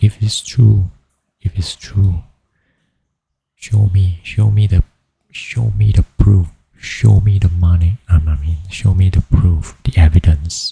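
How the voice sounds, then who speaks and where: Soft-spoken and very slow, a man talks in a very deep, low pitch with long, frequent pauses, the sound dry and close with no echo. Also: fairly even intonation. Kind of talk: ASMR sleep storytelling. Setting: home studio, USB microphone.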